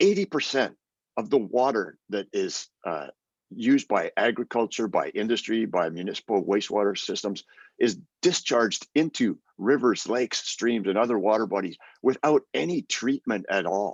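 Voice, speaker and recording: A man with a Canadian accent talks at a moderate pace and medium pitch with lively intonation, in an unremarkable speaking voice. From Canada. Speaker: UN human rights expert. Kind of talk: webinar presentation.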